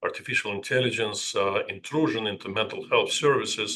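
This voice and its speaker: Delivered at a moderate pace, the man's speech carries a non-native accent. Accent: noticeable foreign. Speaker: psychiatrist. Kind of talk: lecture. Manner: halting, with many filler sounds.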